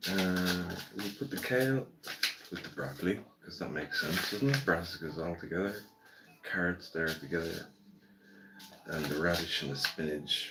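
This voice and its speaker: A man's very deep, low voice in an Irish accent, relaxed in tone with lively intonation, at a moderate pace over noticeable background noise. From Ireland. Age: 60s. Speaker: gardening livestreamer. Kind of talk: casual live stream chat. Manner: relaxed, chatty.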